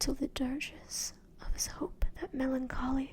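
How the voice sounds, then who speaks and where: The speaker is a woman in a whisper. Her words come very slowly. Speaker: ASMR artist. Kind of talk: poetry reading. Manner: soft-spoken, whispered.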